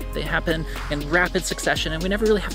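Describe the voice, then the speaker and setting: Someone speaks at a very fast pace with dry sound and no echo, while clear music plays in the background. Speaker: vlogger. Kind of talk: casual vlog chat. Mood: thoughtful, reflective. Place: garden. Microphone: camera far.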